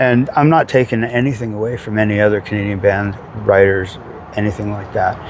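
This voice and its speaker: A man at a fairly low pitch and moderate pace, with fairly even intonation and noticeable background noise. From Vancouver, Canada. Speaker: cover band singer. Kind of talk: casual interview. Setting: outdoors.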